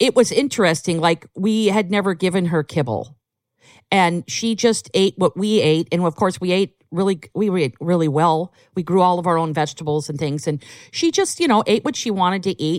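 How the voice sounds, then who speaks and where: Over a very clean recording with a silent background and a dry, close sound with no echo, a woman speaks in a plain, everyday voice at a moderate pace and medium pitch with lively intonation. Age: 50s. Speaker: canine herbalist. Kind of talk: casual chat.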